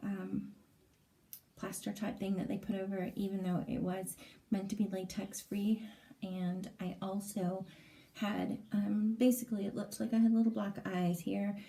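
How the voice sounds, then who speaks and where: A woman speaks at medium pitch and a moderate pace in a flat monotone. Her tone is dark and mellow, and somewhat breathy. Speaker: vlogger. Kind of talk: casual vlog update. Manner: hesitant, many fillers.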